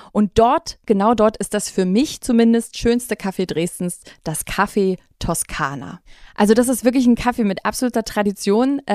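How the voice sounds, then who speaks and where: A woman speaks in an ordinary speaking voice with a fairly high pitch, ordinary pitch variation and a moderate pace. The sound is dry and close with no echo, on a very clean recording with a silent background. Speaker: podcast host. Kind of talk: casual chat.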